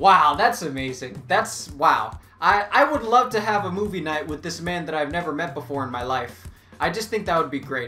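Light background noise accompanies a man at a moderate pace. His pitch swings very widely. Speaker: comedy YouTuber. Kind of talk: casual vlog chat. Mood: sarcastic, joking. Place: home room.

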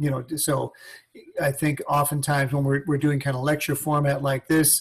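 A man's somewhat breathy voice, pitched fairly high, moves at a fairly quick pace. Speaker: music teacher. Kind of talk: instructional panel discussion. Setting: video call.

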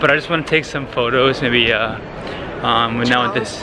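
Dry, echo-free speech with ordinary pitch variation moves at a moderate pace over noticeable background noise. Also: man. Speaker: travel vlogger. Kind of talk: casual vlog chat. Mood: cheerful, relaxed. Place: street. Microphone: phone near.

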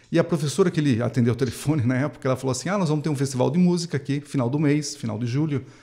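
This man's tone is dark and mellow, and somewhat breathy. He talks at a very fast pace with ordinary pitch variation. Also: quiet background. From interior of São Paulo state, Brazil. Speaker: clarinet professor and music festival coordinator; clarinet professor. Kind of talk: interview. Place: studio. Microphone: studio mic.

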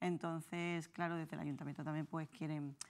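A woman's very deep, low voice at a fairly quick pace, in a monotone, flat intonation. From Conil, Cádiz; Andalusia, Spain. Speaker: film festival organizer; guest. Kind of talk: interview. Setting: TV studio. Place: studio. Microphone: lapel.

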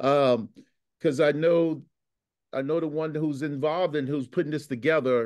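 A man's fairly high voice at a moderate pace, with fairly even intonation, long and frequent pauses, and a quiet background. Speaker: community participant. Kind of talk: casual remarks in Q&A. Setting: video call. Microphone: video call.

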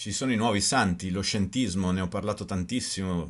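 With a very deep, low pitch and ordinary pitch variation, this man's voice carries. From Italy. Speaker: video blogger and author. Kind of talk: angry rant, conspiracy-minded monologue to camera. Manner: indignant, increasingly heated, rhetorical questions, emphatic. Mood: indignant, critical. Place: home room. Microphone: webcam.

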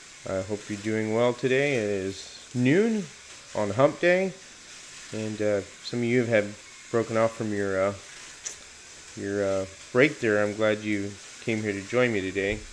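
With light background noise behind him, a man speaks with ordinary pitch variation and long, frequent pauses. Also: fairly low pitch for a man, fairly slow pace. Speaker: hobby livestream host. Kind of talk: casual livestream chat. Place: home room.

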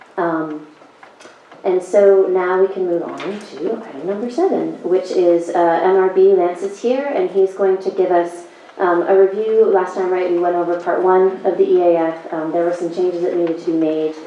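Fairly even intonation from a woman, with audible room echo and clear background noise. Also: medium pitch for a woman. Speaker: planning board chair. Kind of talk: public meeting chairing. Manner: fast.

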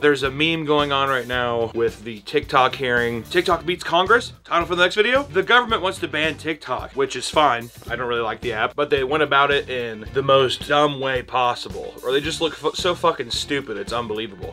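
A man speaks with hardly any pauses as faint music plays in the background. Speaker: animator YouTuber. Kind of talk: casual vlog chat. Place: home room.

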